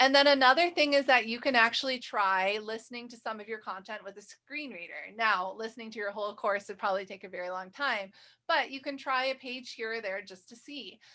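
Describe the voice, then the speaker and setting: A woman speaks with an American accent in a bright, sharp tone at a fairly quick pace. Her pitch is fairly high, with ordinary pitch variation. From US Midwest, Michigan. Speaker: instructor, faculty trainer. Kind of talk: training webinar. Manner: fast.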